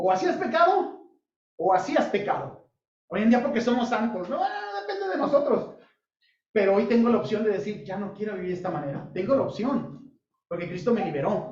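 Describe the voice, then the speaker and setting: The speaker talks at a fairly quick pace with lively intonation, and audible room echo fills the recording. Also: man, high pitch for a man. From Sinaloa, Mexico (Culiacán). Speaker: pastor / Bible teacher. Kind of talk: Bible study sermon. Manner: interactive, asks audience questions.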